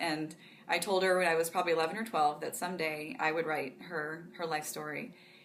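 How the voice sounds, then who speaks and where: Amid audible room echo, a woman with a fairly low voice speaks at a fairly quick pace with fairly even intonation. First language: Pennsylvania Dutch. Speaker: author. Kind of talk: interview. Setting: conference.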